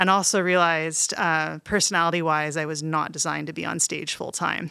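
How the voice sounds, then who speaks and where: With a Canadian accent, the speaker uses a bright, sharp tone, fairly even intonation and a moderate pace on a very clean recording with a silent background. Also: woman. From Canada (Montreal and Toronto). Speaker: composer and music professor. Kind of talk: interview.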